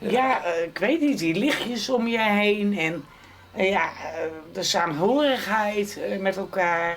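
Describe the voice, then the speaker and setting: Very slow delivery with lively intonation. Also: woman. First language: not Frisian speaker; speaks Dutch (speaking Dutch). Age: 60s. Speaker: interviewee, wife and carer. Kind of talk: casual chat.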